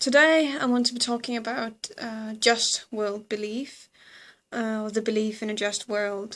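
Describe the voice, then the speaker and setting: In a Danish accent, a woman speaks at a fairly slow pace with a fairly high pitch and fairly even intonation. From Denmark. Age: 20s. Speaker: psychology student and video blogger. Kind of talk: educational explainer. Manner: hesitant, many fillers.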